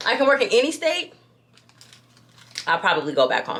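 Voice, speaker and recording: With an American accent, a woman speaks in an animated tone at a fairly quick pace. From New York. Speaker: lifestyle vlogger. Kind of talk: casual chat.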